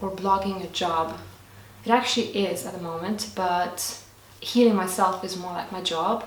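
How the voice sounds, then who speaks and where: A woman with a Lithuanian accent at a moderate pace, amid noticeable background noise and audible room echo. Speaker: lifestyle vlogger. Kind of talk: casual Q&A vlog.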